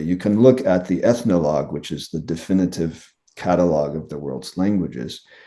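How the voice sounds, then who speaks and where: This man's voice is very deep and low, with a dark, mellow tone. His intonation is lively. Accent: American. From United States. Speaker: linguist professor. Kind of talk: interview.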